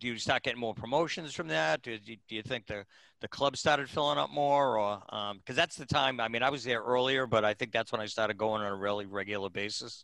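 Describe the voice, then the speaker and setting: A man's bright, sharp tone, with ordinary pitch variation, comes through a dry, close sound with no echo against a quiet background. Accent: Boston. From Boston, Massachusetts. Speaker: podcast host. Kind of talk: casual interview.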